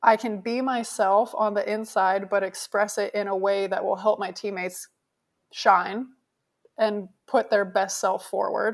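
A woman talks at a fairly slow pace in an ordinary speaking voice, medium in pitch with fairly even intonation. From Canada. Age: 30s. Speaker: professional beach volleyball player. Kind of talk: interview.

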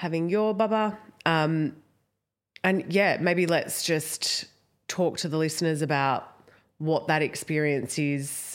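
In an Australian accent, a woman with a fairly low pitch speaks at a very slow pace with long, frequent pauses. Her loudness stays very even on a very clean recording with a silent background. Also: ordinary pitch variation. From Australia, Italian background. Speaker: podcast co-host, postpartum carer. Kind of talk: casual chat.

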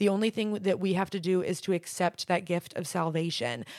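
This woman has a normal speaking voice at medium pitch, moving at a fairly quick pace with fairly even intonation in a dry, close sound with no echo. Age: 20s. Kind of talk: casual chat.

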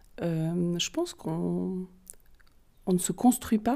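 A woman's medium-pitched voice with a Vaud accent, dark, mellow in tone, at a very slow pace. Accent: Vaud Swiss French. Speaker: holistic therapist and card reader. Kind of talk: interview.

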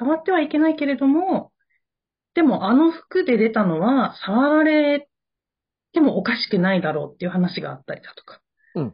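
A woman's high-pitched voice with very wide pitch swings and big swings in loudness. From Japan. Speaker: podcast co-host. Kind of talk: casual chat. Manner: fast.

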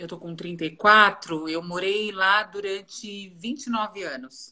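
Here a woman talks at medium pitch in a bright, sharp tone. Her pace is very slow. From Greater São Paulo, Brazil. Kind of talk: casual interview chat.

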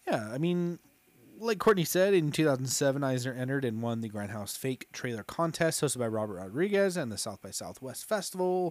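With an animated tone and very wide pitch swings, the voice comes through in a very clean recording with a silent background. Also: man. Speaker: podcast host. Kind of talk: casual chat. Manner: animated, joking.

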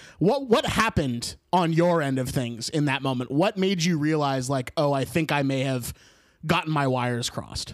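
The voice moves at a moderate pace with ordinary pitch variation. Noticeable background noise runs underneath. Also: man, fairly high pitch for a man. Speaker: podcast host. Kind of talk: casual chat. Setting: video call. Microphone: audio cracking and peaking.

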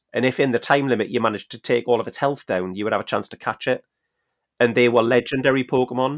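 Against a quiet background, a man with a Geordie accent talks very fast with fairly even intonation. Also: medium pitch for a man. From Newcastle, northeast England. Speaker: podcast co-host. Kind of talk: casual chat.

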